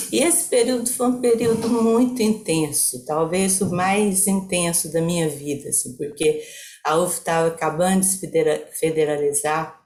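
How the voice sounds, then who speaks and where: A woman with a fairly low pitch speaks at a moderate pace, her voice somewhat breathy and her intonation lively. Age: 70s. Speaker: psychologist. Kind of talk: online talk with slide presentation.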